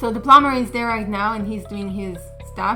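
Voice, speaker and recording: Over music in the background, a woman speaks fairly quickly at a medium pitch with fairly even intonation. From Israel. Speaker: YouTuber sharing personal rental stories. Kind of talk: casual talk to camera, personal storytelling. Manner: conversational, casual.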